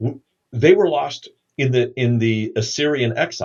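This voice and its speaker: In a quiet background, a man with a medium pitch speaks in a somewhat breathy voice. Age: 60s. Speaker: New Testament scholar and pastor. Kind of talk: podcast interview. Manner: halting.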